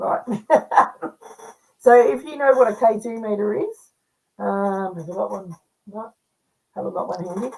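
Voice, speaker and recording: In an Australian accent, the speaker's dark, mellow tone moves at a moderate pace with lively intonation, long, frequent pauses and big swings in loudness. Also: woman, medium pitch for a woman. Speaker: paranormal investigator and medium. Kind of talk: casual chat.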